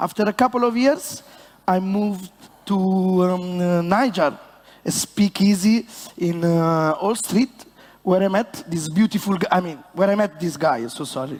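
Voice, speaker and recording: A man speaks in a high voice with an Italian accent. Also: ordinary pitch variation, moderate pace. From Italy. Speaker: bartender. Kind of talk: stage presentation. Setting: stage with audience. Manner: animated.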